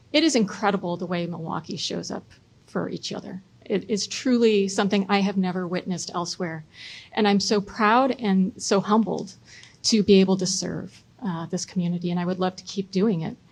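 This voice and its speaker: Somewhat breathy, the woman's voice lands at a medium pitch. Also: ordinary pitch variation, fairly quick pace. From US Midwest (Chicago, Michigan). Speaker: city council president and mayoral candidate. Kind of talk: debate opening statement.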